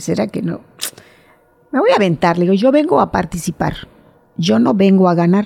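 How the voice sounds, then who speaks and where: With a Mexican accent, a woman speaks at a moderate pace and medium pitch, swinging very widely in pitch over noticeable background noise. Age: 60s. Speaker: amateur cyclist. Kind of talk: interview.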